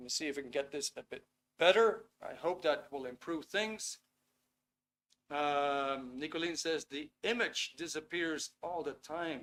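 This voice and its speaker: A man with a Dutch accent speaks at a fairly slow pace. His pitch is fairly high, with ordinary variation. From Netherlands. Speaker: webinar host. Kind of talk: online workshop presentation. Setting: video call webinar. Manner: casual, with fillers and hesitations. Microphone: laptop, sound echoey.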